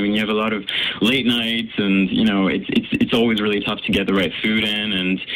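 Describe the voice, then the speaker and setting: Amid noticeable background noise, a man at a medium pitch speaks at a very fast pace. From Canada, raised in Paris. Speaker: singer. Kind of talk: radio interview. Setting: radio studio.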